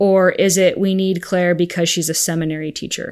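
In a very clean recording with a silent background, a woman speaks at a moderate pace in an unremarkable speaking voice, medium in pitch, with fairly even intonation. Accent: American. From Arizona, US. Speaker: religious education teacher. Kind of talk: casual interview.

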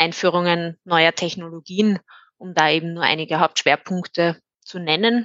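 In a normal speaking voice, a woman with medium pitch and fairly even intonation keeps a moderate pace. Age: 20s. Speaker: IT consultant. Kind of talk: interview.

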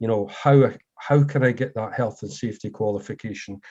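Against a quiet background, a man with a Scottish accent speaks in a medium pitch with a dark, mellow tone and ordinary pitch variation. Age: 50s. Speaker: former butcher, meat industry manager. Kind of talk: casual interview.

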